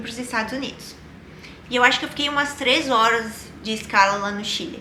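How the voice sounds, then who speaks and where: Noticeable background noise under a woman talking at a moderate pace. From Rio Grande do Sul, Brazil. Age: 20s. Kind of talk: casual personal storytelling to camera.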